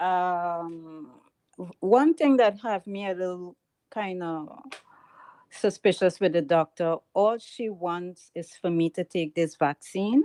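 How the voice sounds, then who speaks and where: Speaking at a very slow pace with a strong Trinidadian accent, a woman has a medium pitch with ordinary variation, a dark, mellow tone and big swings in loudness. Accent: heavy Trinidadian. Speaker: caller. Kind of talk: call-in question. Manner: halting.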